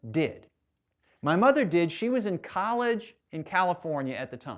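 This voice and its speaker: Against a quiet background, a man with an American accent speaks in a normal speaking voice at a moderate pace with lively intonation. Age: 60s. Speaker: historian and author. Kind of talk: public lecture. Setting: stage with audience.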